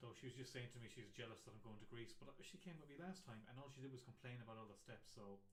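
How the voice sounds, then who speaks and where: In a rural Irish accent, a man rattles along at a very fast pace with hardly any pauses, his medium-pitched voice somewhat breathy, with ordinary pitch variation and audible room echo. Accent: rural Irish (bogger). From Ireland. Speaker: comic artist. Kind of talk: casual live-stream chat while drawing. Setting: live stream. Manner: hesitant, many fillers.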